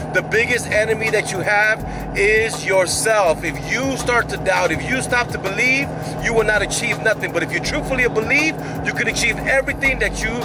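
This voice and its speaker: Music plays in the background of a dry recording with no echo. A man talks at a fairly quick pace. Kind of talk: casual vlog chat. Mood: motivational, upbeat. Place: car. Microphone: phone near.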